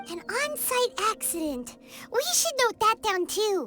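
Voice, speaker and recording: A put-on character voice, squeaky and extremely high-pitched with very wide pitch swings, moves at a fairly slow pace over clear music in the background. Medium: machinima. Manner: excitable, lively.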